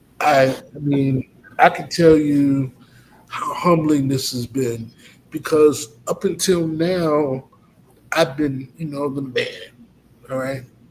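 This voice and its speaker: Noticeable background noise surrounds a man with a fairly high pitch and fairly even intonation. His pace is very slow, with long, frequent pauses. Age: 50s. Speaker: college president. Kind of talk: testimony.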